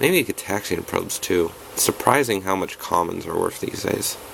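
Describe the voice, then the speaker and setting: Here a man talks at a fairly quick pace. Noticeable background noise runs underneath. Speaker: card game content creator. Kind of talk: tutorial. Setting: home recording, no proper setup. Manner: casual, halting with restarts.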